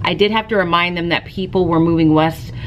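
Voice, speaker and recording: Over noticeable background noise, a woman talks at a fairly quick pace in a fairly low voice. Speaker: teacher and vlogger. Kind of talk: casual vlog talk to camera. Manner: fast.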